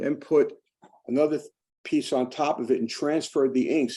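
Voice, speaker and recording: Here a man speaks in a dark, mellow tone. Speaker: calligraphy lecturer. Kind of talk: lecture. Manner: fast; halting.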